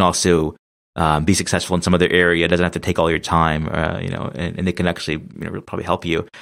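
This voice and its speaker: A man speaks in a very deep, low pitch. His intonation stays monotone and flat. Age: 20s. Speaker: podcast host. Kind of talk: casual chat. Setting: remote podcast recording.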